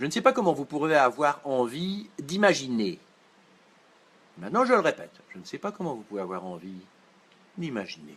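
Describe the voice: Speaking at a moderate pace with a slight Belgian accent, a man uses a fairly high pitch, very wide pitch swings, big swings in loudness and long, frequent pauses.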